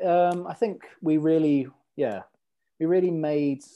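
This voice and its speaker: Against a quiet background, a man speaks with a fairly high pitch and a dark, mellow tone. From Norway. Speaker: football podcast host. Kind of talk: casual chat.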